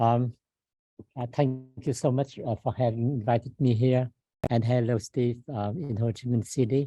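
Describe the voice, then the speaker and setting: The voice has a dark, mellow tone and is somewhat breathy, with fairly even intonation at a moderate pace. The sound is dry and close with no echo. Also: man, medium pitch for a man. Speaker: business professor. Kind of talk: lecture. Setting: room with live and online audience. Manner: halting.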